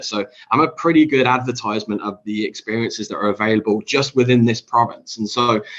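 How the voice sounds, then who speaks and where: Medium-pitched and fairly even in intonation, a man speaks. He goes at a very fast pace. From Britain. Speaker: tourism industry leader. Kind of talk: panel discussion.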